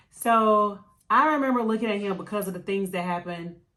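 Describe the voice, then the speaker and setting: A woman's medium-pitched voice, bright and sharp in tone, on a very clean recording with a silent background. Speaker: beauty and lifestyle vlogger, former Marine. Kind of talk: casual storytelling chat. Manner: loud.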